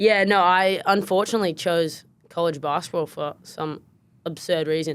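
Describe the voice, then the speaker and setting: The speaker has an American accent, a moderate pace and fairly even intonation, captured on a very clean recording with a silent background. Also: woman, fairly low pitch for a woman. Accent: Australian with slight American twang. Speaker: podcast co-host, former basketballer. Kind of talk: casual podcast chat.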